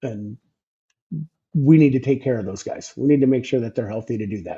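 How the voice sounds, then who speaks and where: Talking at a fairly quick pace, a man uses a medium pitch with ordinary pitch variation and a dark, mellow, somewhat breathy tone. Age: 60s. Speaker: former truck driver, sleep health business developer. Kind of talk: interview. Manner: halting, many repetitions.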